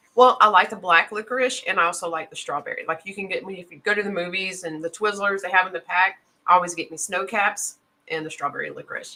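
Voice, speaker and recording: At a very fast pace, a woman with a slight Southern US accent speaks at a medium pitch with a bright, sharp tone and ordinary pitch variation. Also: big swings in loudness. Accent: slight Southern twang. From Mississippi. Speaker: knife channel host. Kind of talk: casual chat. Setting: live stream.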